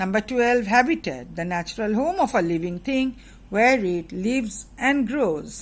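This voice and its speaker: The voice is somewhat breathy and swings very widely in pitch. The recording is very clean, with a silent background. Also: woman, fairly high pitch for a woman, fairly slow pace. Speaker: schoolteacher. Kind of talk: lesson revision.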